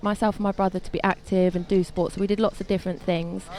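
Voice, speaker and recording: A woman with a Sussex accent talks at a very fast pace in a dark, mellow tone. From southern England, Sussex south coast. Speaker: former judo athlete. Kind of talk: interview.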